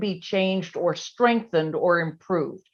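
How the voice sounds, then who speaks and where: A woman with an American accent and an unremarkable speaking voice talks with lively intonation. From US South, Virginia. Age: 60s. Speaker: policy analyst and author. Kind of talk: interview. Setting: video call.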